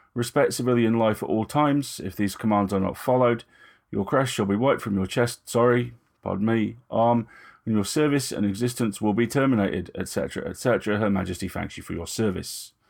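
Mumbling in a put-on character voice, a man speaks at a medium pitch and moderate pace on a very clean recording with a silent background. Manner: mumbling, perfunctory, officious.

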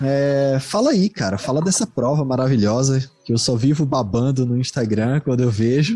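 In a Recife accent, a somewhat breathy man with a dark, mellow tone speaks at medium pitch and a moderate pace, with ordinary pitch variation, very even loudness and hardly any pauses. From Recife, Brazil. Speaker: podcast host. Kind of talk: casual chat.

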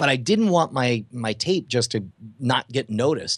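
A man with a plain, everyday voice, an American accent, a medium pitch and lively intonation. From Texas (Houston, West Texas). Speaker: magician and comedian. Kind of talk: interview.

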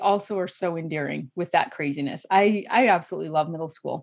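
Over a quiet background, a woman with a plain, everyday voice and an American accent talks at a moderate pace with lively intonation. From Idaho. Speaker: life coach. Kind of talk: interview.

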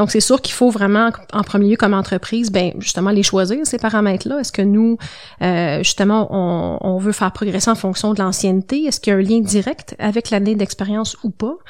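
Moving at a fairly quick pace, a plain, everyday voice speaks with ordinary pitch variation. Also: woman, medium pitch for a woman. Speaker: compensation consultant. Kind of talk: interview.

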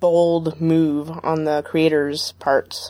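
A woman's fairly low, dark and mellow voice on a very clean recording with a silent background. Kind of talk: casual chat.

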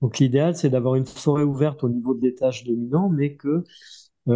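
A dark, mellow tone with fairly even intonation comes through over a quiet background. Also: man. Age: 60s. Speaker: agronomist and author. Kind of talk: interview. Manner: halting, many repetitions.

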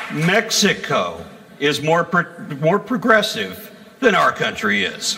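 Over noticeable background noise, a man with a high pitch talks at a very slow pace in a raised, projected voice, using ordinary pitch variation. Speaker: atheist activist and speaker. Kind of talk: stand-up comedy. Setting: stage with audience. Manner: animated, irreverent, sarcastic; punchy joke delivery with pauses for audience laughter.

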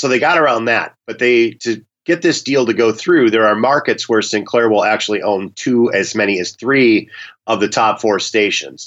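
With an American accent, a man uses a normal speaking voice at medium pitch and a moderate pace. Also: ordinary pitch variation. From US Minnesota. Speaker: media law professor. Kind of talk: expert interview discussion. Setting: phone call.

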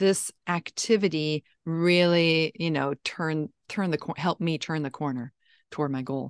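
In an ordinary speaking voice, a woman talks at a moderate pace and fairly low pitch with ordinary pitch variation, the sound dry and close with no echo against a quiet background. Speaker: writing coach. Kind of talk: interview intro and conversation.

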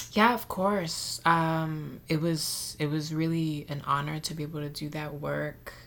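This woman has a very deep, low pitch and an American accent, speaking at a fairly slow pace with hardly any pauses. Her intonation is fairly even, with audible room echo. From Mexico City and San Antonio, Texas. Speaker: filmmaker and actress. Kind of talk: interview.

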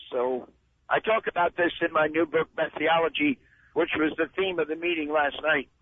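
The speaker has an American accent, a moderate pace, and fairly even intonation. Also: man. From US Northeast, New Jersey. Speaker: missions leader. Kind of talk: interview.

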